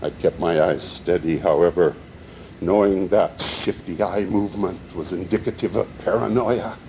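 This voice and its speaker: A man with an American accent speaks at a moderate pace and a fairly low pitch. His pitch varies an ordinary amount, and there is noticeable background noise. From Montana, Butte. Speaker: poet. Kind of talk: reading aloud.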